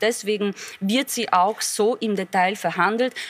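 A woman at a medium pitch, speaking at a fairly slow pace with fairly even intonation amid noticeable background noise. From Poland. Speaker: politician. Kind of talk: panel debate.

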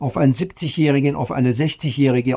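A man speaks with a fairly high pitch and a dark, mellow tone in a very clean recording with a silent background. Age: 60s. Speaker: professor. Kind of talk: interview.

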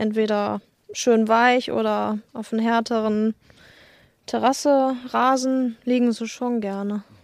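Fairly high in pitch, a woman with a plain, everyday voice speaks with fairly even intonation on a very clean recording with a silent background. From Germany, Lügde (Lippe region). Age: 20s. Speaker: husky owner, retail worker. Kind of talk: interview. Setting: at her home.

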